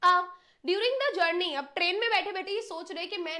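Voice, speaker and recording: A woman's extremely high, raised and projected voice, bright and sharp in tone, with an animated delivery. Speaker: English teacher. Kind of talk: online lecture. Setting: live stream.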